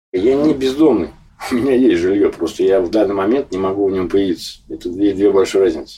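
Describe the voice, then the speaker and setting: A man's fairly low, dark and mellow voice, somewhat breathy, at a fairly quick pace with ordinary pitch variation. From Moscow. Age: 40s. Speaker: homeless man. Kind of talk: interview.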